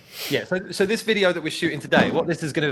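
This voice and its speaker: A man speaks with a bright, sharp tone. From England. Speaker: tech company CEO, podcast co-host. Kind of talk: casual podcast chat.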